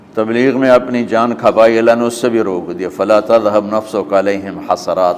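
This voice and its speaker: Noticeable background noise sits behind a man's voice. He speaks at a medium pitch with ordinary variation. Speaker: Islamic scholar. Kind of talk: religious sermon.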